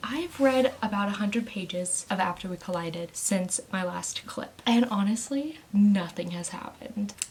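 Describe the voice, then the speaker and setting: A soft-spoken woman at medium pitch, lively in intonation, at a moderate pace with hardly any pauses, over noticeable background noise. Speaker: book vlogger. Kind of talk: casual vlog talk. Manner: animated.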